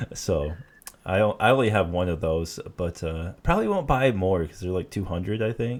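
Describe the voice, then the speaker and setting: Speaking at a moderate pace, a man with a Michigan accent uses a very deep, low pitch and ordinary pitch variation. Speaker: podcast host. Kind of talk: casual chat. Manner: halting, many fillers and repeats.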